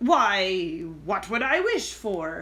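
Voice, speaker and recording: A woman uses a put-on character voice. Her pitch is medium. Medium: read story. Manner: whining.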